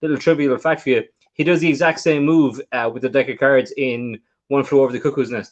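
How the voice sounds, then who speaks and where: With an Irish accent and ordinary pitch variation, a man talks at a very fast pace. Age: 30s. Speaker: magician and podcast co-host. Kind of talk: casual chat.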